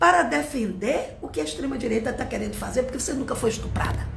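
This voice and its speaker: A woman speaks in an animated tone with very wide pitch swings, over noticeable background noise and audible room echo. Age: 60s. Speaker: teacher. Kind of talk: live-stream political commentary. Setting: Instagram live stream.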